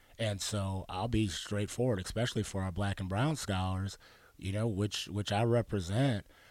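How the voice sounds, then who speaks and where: A normal speaking voice at a moderate pace with fairly even intonation, in a very clean recording with a silent background. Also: man, fairly low pitch for a man. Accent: American. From Arizona. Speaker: youth program director. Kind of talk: radio interview.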